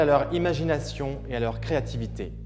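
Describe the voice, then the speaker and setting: A man talks at a fairly slow pace with music in the background. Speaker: TV presenter. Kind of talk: TV game show hosting.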